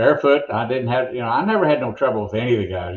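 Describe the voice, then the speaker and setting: Speaking at a fairly quick pace, a man with a medium-pitched, somewhat breathy voice uses lively intonation. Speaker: monster truck announcer. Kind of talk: interview answer.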